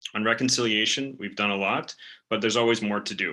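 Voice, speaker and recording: This man talks at a very fast pace with a western Canadian accent. His tone is bright and sharp, with fairly even intonation. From western Canada, West Vancouver. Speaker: political candidate. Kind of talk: campaign speech. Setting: video call.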